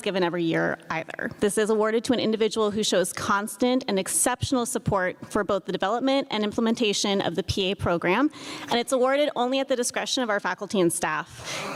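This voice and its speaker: A woman's fairly high voice at a very fast pace, with ordinary pitch variation and noticeable background noise. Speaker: PA program faculty member. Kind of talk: award ceremony speech.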